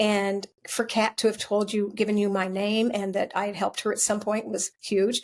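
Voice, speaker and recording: With an American accent, the voice moves at a fairly quick pace in a monotone, flat intonation. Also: woman. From US Midwest, Ohio. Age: 70s. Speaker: medium and bereaved mother. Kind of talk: interview. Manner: halting.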